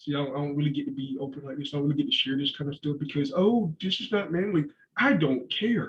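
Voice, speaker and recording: Speaking very fast with a somewhat breathy tone, this man has a fairly high pitch and ordinary pitch variation. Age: 30s. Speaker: podcast guest. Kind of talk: casual chat.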